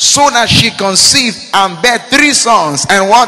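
A man's raised, projected voice in an animated tone, over noticeable background noise. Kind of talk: sermon. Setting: church with a congregation. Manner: rhetorical call-and-response, asking 'Are we together?'.

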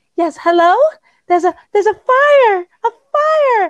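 This put-on character voice is squeaky and pitched extremely high. It moves at a very slow pace.

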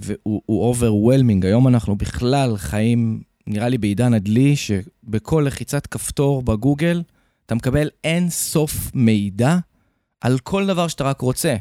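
A man's medium-pitched voice, dark and mellow in tone, with lively intonation at a fairly slow pace, dry and close with no echo, on a very clean recording with a silent background. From Haifa, Israel. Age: 30s. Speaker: real estate investor and mentor. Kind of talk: podcast interview.

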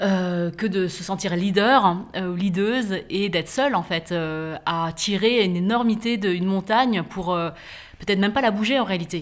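At a moderate pace, a woman talks in a medium register, her pitch rising and falling in an ordinary way. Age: 40s. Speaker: author and podcaster. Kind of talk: casual conversation. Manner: hesitant, many fillers.

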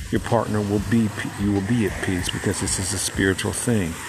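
A man's fairly low, calm voice at a moderate pace, with fairly even intonation. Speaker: podcast host. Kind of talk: solo podcast talk, reflective self-help. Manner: calm, peaceful; reflective, with filler words.

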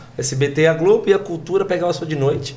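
Amid noticeable background noise and audible room echo, a man talks at a moderate pace with a high pitch. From Brazil, São Paulo state (Pirituba, then Pinhalzinho). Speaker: comedian. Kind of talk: casual chat.

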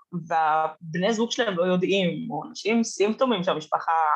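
Lively intonation marks a woman's medium-pitched voice as she talks at a moderate pace. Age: 20s. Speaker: content creator and communications student. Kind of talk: podcast interview.

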